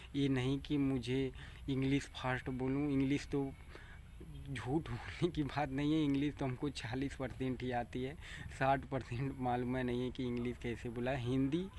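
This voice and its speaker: Flat and monotone, a man speaks at a medium pitch with a dark, mellow tone. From Bhojpuri-speaking region of north India. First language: Bhojpuri (speaking Hindi). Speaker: farmer and vlogger. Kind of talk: casual vlog monologue. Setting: outdoors by paddy field. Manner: halting.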